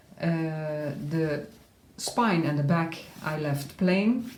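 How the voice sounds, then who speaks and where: A woman speaks with a very deep, low-pitched voice. There is audible room echo. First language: not English. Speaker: crafter showing her handmade journal. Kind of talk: tutorial-style flip through. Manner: halting, frequent uh fillers.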